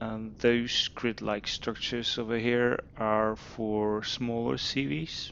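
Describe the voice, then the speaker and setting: At a very slow pace, a man speaks with a fairly low pitch and fairly even intonation. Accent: non-native. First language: not English. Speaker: video game youtuber. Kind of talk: game tutorial walkthrough. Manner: hesitant, many fillers.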